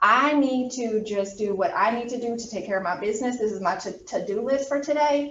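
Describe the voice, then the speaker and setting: The voice shows ordinary pitch variation. Audible room echo surrounds it. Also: woman. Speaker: college anatomy instructor. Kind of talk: lecture. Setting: classroom, also streamed on video call. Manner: fast.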